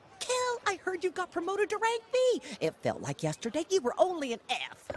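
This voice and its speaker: A woman does a cartoonish character voice with a warm tone and an extremely high pitch, her pitch swinging very widely. She speaks at a moderate pace, and the sound is dry and close with no echo. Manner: warm, chatty.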